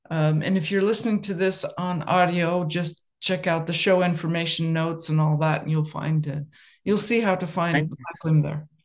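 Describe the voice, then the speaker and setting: A woman with an unremarkable speaking voice and fairly even intonation. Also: fairly low pitch for a woman, moderate pace. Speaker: podcast host, artist. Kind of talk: casual interview.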